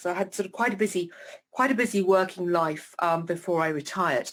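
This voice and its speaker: A woman talks at a fairly quick pace with a British accent. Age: 60s. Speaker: retired professor living with MS. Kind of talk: interview. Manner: hesitant with many fillers.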